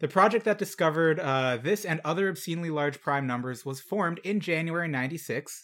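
A man's fairly high voice, very fast pace, ordinary pitch variation. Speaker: podcast host. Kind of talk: casual banter podcast. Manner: joking, casual.

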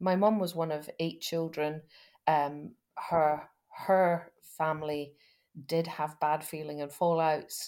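A woman with a Scottish accent speaks at a very slow pace with long, frequent pauses and monotone, flat intonation. Her very deep, low pitch has a dark, mellow tone. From Scotland, West Fife. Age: 50s. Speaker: rural business lawyer. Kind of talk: interview. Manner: halting.

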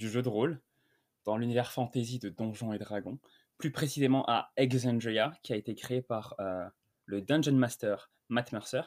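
A man talks at a very slow pace, recorded very cleanly against a silent background. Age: 20s. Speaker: screenwriter. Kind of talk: casual interview.

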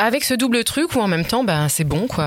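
Over noticeable background noise, a woman's intonation is lively. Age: 40s. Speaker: podcast guest sharing her love life. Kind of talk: personal testimony in casual chat.

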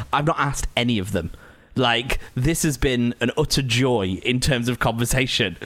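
Speaking with a Lancashire accent, a man keeps a medium pitch, a moderate pace, ordinary pitch variation and very even loudness. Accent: northern English (Lancashire). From Lancashire, northern England. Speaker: podcast host. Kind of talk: casual chat. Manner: laughs a lot.

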